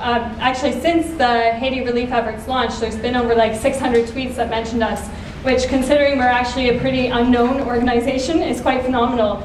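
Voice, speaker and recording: With hardly any pauses, a woman talks at a fairly quick pace in a high pitch and monotone, flat intonation, with audible room echo and light background noise. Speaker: nonprofit social media manager. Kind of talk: conference talk. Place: stage. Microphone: camera far.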